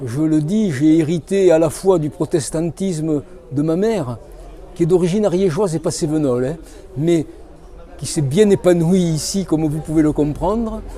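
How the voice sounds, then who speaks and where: A man with a southern French accent speaks at a moderate pace in a high pitch, with long, frequent pauses and noticeable background noise. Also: ordinary pitch variation. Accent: southern French accent, kept. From southern France, Cévennes foothills (Hérault/Gard). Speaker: author. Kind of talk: interview.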